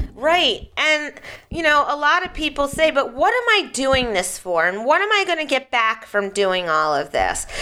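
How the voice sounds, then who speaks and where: In an American accent, a woman with a high pitch projects a raised voice with very wide pitch swings. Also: moderate pace. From Philadelphia. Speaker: radio host and parenting expert. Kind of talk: radio talk show. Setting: studio.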